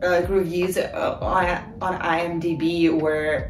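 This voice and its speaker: A fairly low-pitched woman's voice amid clear background music and audible room echo. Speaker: video creator. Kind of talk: casual vlog chat. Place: home room. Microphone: camera far.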